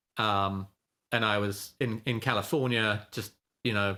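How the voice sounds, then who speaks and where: A man's voice comes across with a bright, sharp tone. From England. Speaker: options trader and trading educator. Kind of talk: podcast interview, casual chat.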